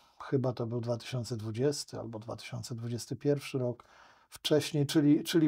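A man's somewhat breathy voice against a quiet background. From Poland. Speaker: lawyer; podcast guest, lawyer. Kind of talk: interview conversation. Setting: studio. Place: studio. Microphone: studio mic.

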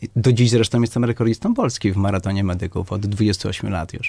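Over a quiet background, a man speaks at a fairly quick pace in a dry sound with no echo. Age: 50s. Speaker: doctor and medical clinic director; candidate. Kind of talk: radio interview. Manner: halting, many repetitions and fillers. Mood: firm, assertive. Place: studio.

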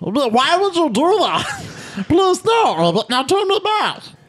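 A put-on character voice at an extremely high pitch moves at a very slow pace. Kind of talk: comic fan dub. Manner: pleading, comic.

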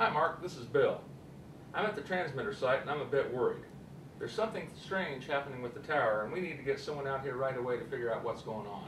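A man talks at a very fast pace. Noticeable background noise sits behind him. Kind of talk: acted phone call. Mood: worried, urgent. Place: studio.

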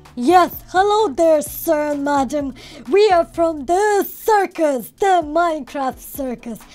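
A put-on character voice with lively intonation at a fairly slow pace. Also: woman, extremely high pitch for a woman. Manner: playful, silly.

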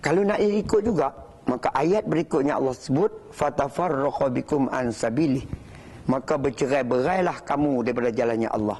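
A man's fairly high voice with lively intonation and very even loudness, over noticeable background noise. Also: moderate pace. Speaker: religious speaker. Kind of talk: religious talk. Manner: formal.

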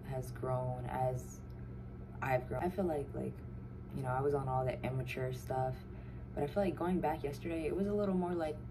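The pace is moderate, with noticeable background noise behind the voice. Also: woman. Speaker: vlogger. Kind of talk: casual vlog chat. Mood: happy, relaxed. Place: home room. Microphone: phone near.

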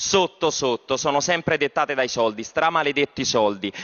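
With vocal fry, a man talks at a fairly quick pace against a quiet background. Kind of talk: parliamentary speech. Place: hall. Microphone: podium.

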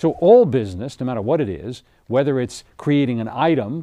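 A man's dark, mellow voice over a quiet background. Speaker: TV show host. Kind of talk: seminar lecture. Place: studio.

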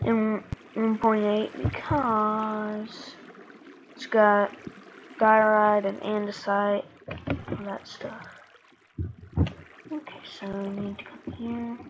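Speaking very slowly with long, frequent pauses, a woman with a fairly high pitch keeps a fairly even intonation while her loudness swings widely over noticeable background noise. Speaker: gaming YouTuber. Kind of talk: gameplay commentary. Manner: casual, conversational.

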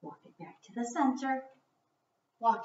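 A woman speaks amid light background noise. Room echo is audible. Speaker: fitness instructor. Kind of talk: workout instruction. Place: home room. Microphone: camera far.

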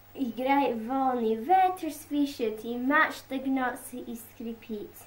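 Very slow speech from a woman at a high pitch, showing ordinary pitch variation. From Scotland. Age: young. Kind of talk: poetry reading.

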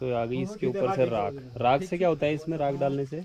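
The pace is fairly quick. A dark, mellow tone marks the voice. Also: man, medium pitch for a man, ordinary pitch variation.

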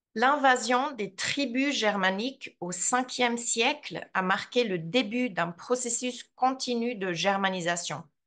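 A woman's fairly high voice with a Swiss accent, at a very slow pace with ordinary pitch variation. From Switzerland, Graubünden (Surselva, Vrin); Graubünden, Switzerland. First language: Romansh (speaking French). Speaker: translator and language teacher; language teacher. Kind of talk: lecture. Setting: video call. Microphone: video call.

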